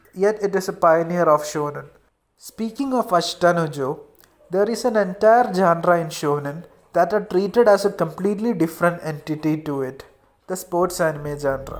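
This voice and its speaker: At a moderate pace, the speaker talks with an Indian accent. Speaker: anime video essayist. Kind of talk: video essay narration.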